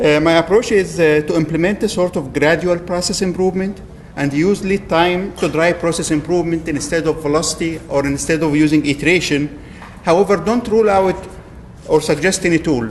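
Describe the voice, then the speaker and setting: Fairly quick speech from a man with a high voice, ordinary pitch variation, and noticeable noise behind it. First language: not English. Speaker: agile coach. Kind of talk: lightning talk presentation. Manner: hesitant, with fillers.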